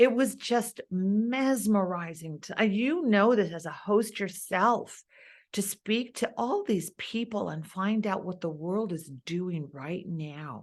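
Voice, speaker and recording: Against a quiet background, a woman with an American accent talks at a very slow pace, her medium pitch carried by lively intonation. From East Los Angeles. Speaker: opera singer; TV and radio host. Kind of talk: interview answer.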